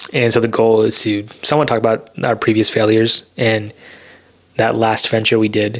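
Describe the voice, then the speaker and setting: Mumbling at a moderate pace with an American accent, a man keeps a medium pitch, monotone, flat intonation and very even loudness over noticeable background noise. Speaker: podcast co-host, software engineer. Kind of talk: casual chat. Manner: soft-spoken.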